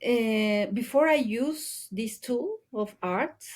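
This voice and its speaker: A woman with a Spanish accent speaks at a very slow pace, with a high pitch and ordinary pitch variation. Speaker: ecologist and environmental educator. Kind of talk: interview conversation. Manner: halting, many fillers.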